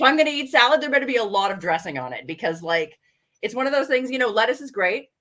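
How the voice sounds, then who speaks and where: A very fast, animated woman's voice, high-pitched, with lively intonation and big swings in loudness. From English Canada, rural. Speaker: goth model and fashion designer. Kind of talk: casual interview chat. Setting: live stream interview.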